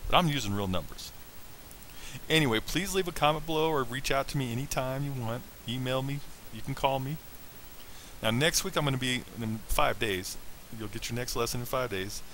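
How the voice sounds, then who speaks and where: At medium pitch, a man talks at a fairly quick pace with ordinary pitch variation, broken by long, frequent pauses. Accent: American. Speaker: financial coach. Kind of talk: online lesson.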